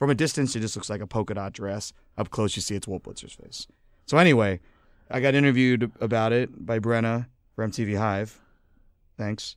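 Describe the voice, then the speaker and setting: With an American accent, a man talks at a fairly quick pace with long, frequent pauses, medium pitch and ordinary pitch variation, on a very clean recording with a silent background. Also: big swings in loudness. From Philadelphia. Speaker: rock musician. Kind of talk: casual chat. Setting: studio. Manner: animated.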